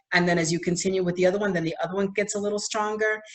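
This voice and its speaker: In a Spanish accent, a woman speaks at a medium pitch with fairly even intonation. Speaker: school district administrator. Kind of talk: bilingual presentation for parents. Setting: online virtual presentation.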